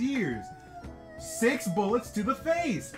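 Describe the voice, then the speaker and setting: A man talks at a fairly slow pace while music plays clearly in the background. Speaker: youtuber. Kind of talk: casual reaction video chat. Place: home room. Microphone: webcam.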